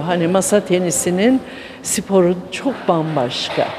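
Over noticeable background noise, the speech comes very slowly with ordinary pitch variation. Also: woman. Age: 70s. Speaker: table tennis enthusiast. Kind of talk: news interview. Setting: sports hall. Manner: hesitant, many fillers. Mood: cheerful, enthusiastic. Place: gym. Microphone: handheld.

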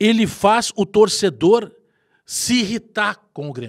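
Against a quiet background, a man speaks loudly at a high pitch with ordinary pitch variation. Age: 40s. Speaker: football commentator, fan channel; football commentator. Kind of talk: opinion monologue. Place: studio.

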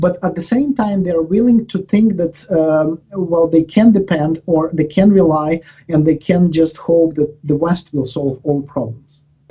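A man speaks fairly slowly with hardly any pauses, his pitch high and his tone dark and mellow. The background is quiet. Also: ordinary pitch variation. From Ukraine. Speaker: professor. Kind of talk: interview. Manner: halting, with many repetitions and fillers. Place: office. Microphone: headset.

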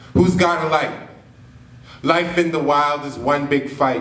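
Speaking at a fairly slow pace, a man with a fairly high pitch is heard over audible room echo. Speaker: slam poet. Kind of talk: spoken word poetry performance. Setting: live stage, cinema venue. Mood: earnest, reflective. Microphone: podium.

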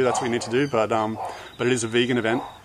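Over noticeable background noise, a man talks at a very fast pace with fairly even intonation. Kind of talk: casual vlog chat. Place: garden.

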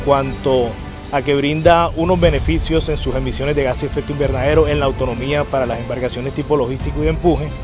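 A man's very fast speech over clear background music, the sound dry with no echo. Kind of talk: project presentation. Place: open country.

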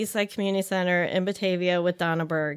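A woman with an American accent speaks at a fairly quick pace and a medium pitch. Her intonation is fairly even, and the background is quiet. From Chicago area, US Midwest. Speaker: yoga teacher. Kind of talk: casual interview. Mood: warm, reflective storytelling. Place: studio. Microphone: studio mic.

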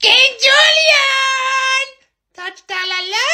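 A put-on character voice pitched extremely high. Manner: cartoonish.

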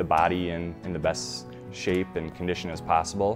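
Clear music plays in the background. A man speaks with a very deep, low pitch and ordinary pitch variation. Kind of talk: interview answer. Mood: earnest, reflective. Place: home room. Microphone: lapel.

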